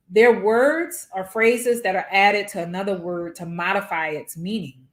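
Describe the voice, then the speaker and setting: A woman speaks with a New Orleans accent and ordinary pitch variation. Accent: New Orleans drawl. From New Orleans, US South. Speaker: physics professor. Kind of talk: workshop lecture.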